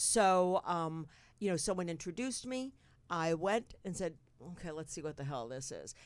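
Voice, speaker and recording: On a very clean recording with a silent background, a woman with a New Jersey accent speaks in an animated tone, with a fairly low pitch and lively intonation. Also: moderate pace. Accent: New Jersey American. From New Jersey, North Bergen. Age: 60s. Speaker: talk show host. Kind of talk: casual chat. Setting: studio.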